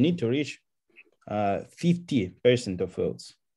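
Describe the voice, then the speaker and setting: A medium-pitched man with a non-native accent, a dark, mellow tone and lively intonation, against a quiet background. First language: not English. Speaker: contest participant presenting a solution. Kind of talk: online AMA discussion. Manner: halting, many fillers.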